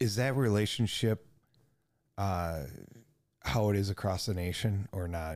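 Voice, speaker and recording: On a very clean recording with a silent background, a man with an American accent speaks at a very deep, low pitch with ordinary pitch variation. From United States. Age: 50s. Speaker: podcast host. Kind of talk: casual interview.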